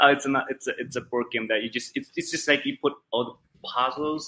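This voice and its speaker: In a Chinese accent, a bright, sharp voice moves at a fairly quick pace with fairly even intonation. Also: man. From central China. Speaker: gaming company account manager. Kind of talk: interview. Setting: video call. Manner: halting.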